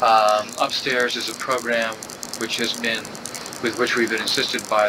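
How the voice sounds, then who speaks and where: The voice stays monotone and flat at a moderate pace over noticeable background noise. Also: man. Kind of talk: interview. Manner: soft-spoken.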